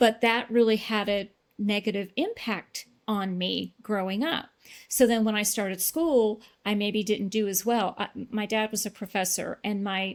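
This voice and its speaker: In a very clean recording with a silent background, a woman talks at a fairly slow pace with fairly even intonation in an unremarkable speaking voice. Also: medium pitch for a woman. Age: 60s. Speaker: weight loss client. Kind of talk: interview testimony.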